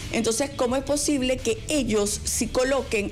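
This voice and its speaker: A woman talks at a moderate pace with a high pitch and ordinary pitch variation. Music plays in the background, and room echo is audible. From Venezuela. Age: 60s. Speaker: radio host. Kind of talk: panel discussion.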